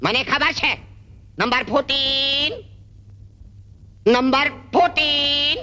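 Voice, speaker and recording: A put-on character voice speaks at a very slow pace and a high pitch. Long pauses come often. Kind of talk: comic overacting. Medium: short film. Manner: scolding, comic.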